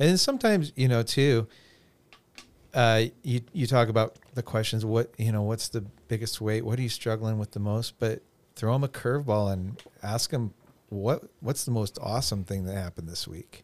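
A plain, everyday voice from a man, medium in pitch, at a moderate pace with ordinary pitch variation. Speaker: youth pastor. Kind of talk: casual podcast conversation.

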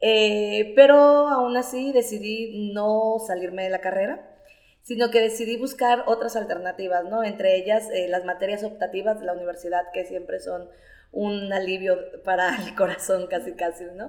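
Here is a woman with an unremarkable speaking voice at medium pitch. She keeps a moderate pace and ordinary pitch variation. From Nayarit, Mexico. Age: 30s. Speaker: storyteller. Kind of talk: interview.

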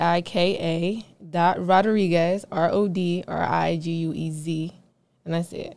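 A woman has an unremarkable speaking voice at medium pitch. She talks at a fairly slow pace with ordinary pitch variation. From Philadelphia, US. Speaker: fitness trainer. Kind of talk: casual interview.

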